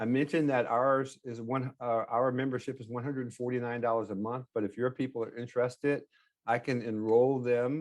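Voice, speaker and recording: Against a quiet background, a man speaks at a fairly quick pace with monotone, flat intonation. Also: medium pitch for a man. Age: 60s. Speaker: real estate note investor. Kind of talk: podcast interview. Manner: halting.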